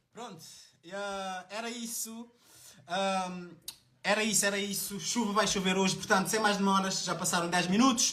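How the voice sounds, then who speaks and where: A man's high-pitched, raised, projected voice, bright and sharp in tone, monotone and flat, with audible room echo. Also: moderate pace. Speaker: live stream host. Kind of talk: live stream introduction. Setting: live stream.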